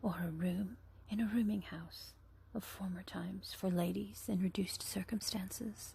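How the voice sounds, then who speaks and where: Someone is talking in a whisper. The pace is moderate. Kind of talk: ASMR book reading. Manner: whispered.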